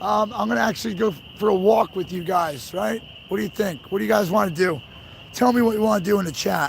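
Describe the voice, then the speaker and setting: A man with a high pitch talks at a very fast pace with lively intonation. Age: 30s. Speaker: livestreamer at protest convoy. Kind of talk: casual live-stream talk to chat. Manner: casual, repetitive with fillers.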